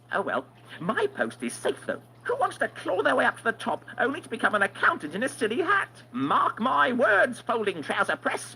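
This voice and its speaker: A put-on character voice, fairly high in pitch and at a fairly quick pace. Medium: video game. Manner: wry, chuckling at own jokes.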